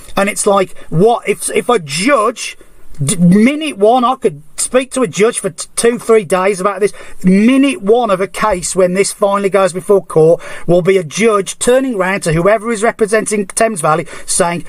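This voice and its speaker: A man speaks in an English accent with an animated tone. His pace is moderate and his pitch variation ordinary. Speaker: member of the public complaining to police. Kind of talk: heated phone complaint. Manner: animated, repetitive, stumbling.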